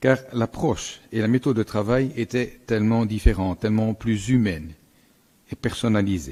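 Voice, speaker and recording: Speaking in a Belgian accent at a moderate pace, a man has a fairly low pitch, a dark, mellow tone, ordinary pitch variation, and a dry, close sound with no echo. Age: 70s. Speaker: general practitioner and council member. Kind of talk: council speech. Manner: formal.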